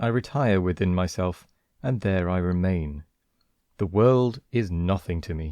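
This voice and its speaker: A man with a British accent speaks at a fairly slow pace in a very deep, low voice with a dark, mellow tone and ordinary pitch variation. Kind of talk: story reading.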